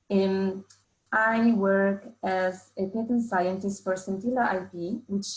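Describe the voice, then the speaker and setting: The voice is somewhat breathy and delivered in a monotone, flat intonation. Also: woman. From Italy. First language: Italian. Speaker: patent scientist. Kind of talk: webinar presentation. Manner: hesitant, with fillers.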